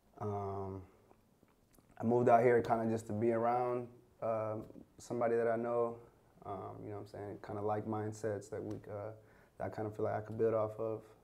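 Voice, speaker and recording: A man's fairly low voice with an American accent and a dark, mellow tone, monotone, flat intonation at a fairly quick pace, long, frequent pauses, big swings in loudness and audible room echo. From US Midwest, Minnesota. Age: 20s. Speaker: fashion designer. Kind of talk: casual chat.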